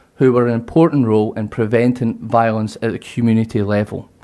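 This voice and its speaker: Speaking with a Scottish accent, a man has a medium pitch and a dark, mellow tone, talking at a fairly quick pace. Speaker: university lecturer in security studies. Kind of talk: conference presentation.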